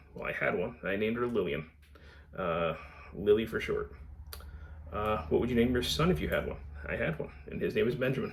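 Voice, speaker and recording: Delivered at a fairly quick pace, the speech has long, frequent pauses and audible room echo. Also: man. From Connecticut, US. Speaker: book vlogger. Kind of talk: casual vlog Q&A. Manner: halting, many fillers.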